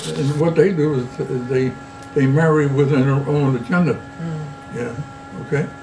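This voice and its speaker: A man's fairly high voice at a moderate pace, fairly even in intonation, with long, frequent pauses and noticeable background noise. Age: 80s+. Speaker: grandfather. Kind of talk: interview answer.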